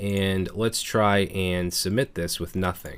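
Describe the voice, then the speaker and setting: Recorded very cleanly against a silent background, a man speaks with fairly even intonation. He has a normal speaking voice at a fairly low pitch. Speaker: programming instructor. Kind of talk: tutorial.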